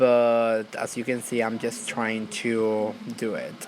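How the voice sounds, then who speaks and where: Amid noticeable background noise, a man with a non-native accent speaks at a very slow pace and medium pitch in a monotone, flat intonation. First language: not English. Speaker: YouTuber. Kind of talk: tutorial. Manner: casual, filler-heavy.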